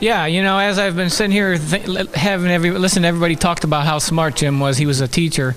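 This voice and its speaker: Very fast talk from a high-pitched man with hardly any pauses, very even loudness, ordinary pitch variation and light background noise. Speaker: activist; interviewee. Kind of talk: casual chat. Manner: halting. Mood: reflective, remembering someone. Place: hall. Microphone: handheld.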